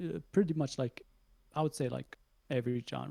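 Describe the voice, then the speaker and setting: The voice has a dark, mellow tone with vocal fry and ordinary pitch variation, sounding dry and close with no echo. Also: man. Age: 20s. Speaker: podcast guest, anime fan. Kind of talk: casual chat. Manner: halting, many fillers.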